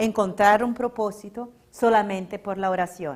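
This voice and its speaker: A woman with a Portuguese accent at a fairly slow pace. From Brazil, São Paulo. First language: Portuguese (speaking Spanish). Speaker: religious lecturer. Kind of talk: public lecture.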